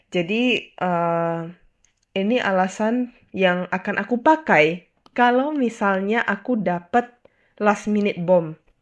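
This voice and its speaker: A woman's medium-pitched voice at a very slow pace, with ordinary pitch variation over a quiet background. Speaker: video host. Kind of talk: solo monologue, casual video commentary. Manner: casual, mixes English phrases.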